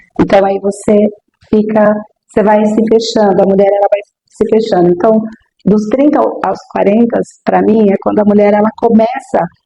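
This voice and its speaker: Spoken at a moderate pace, this is a plain, everyday voice with fairly even intonation. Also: woman. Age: 60s. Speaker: sexologist. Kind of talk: interview.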